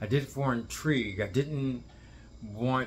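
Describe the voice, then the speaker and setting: A man speaks in a somewhat breathy voice. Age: 60s. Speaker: dance teacher, video blogger. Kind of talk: casual monologue to camera. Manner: halting, rambling with self-corrections.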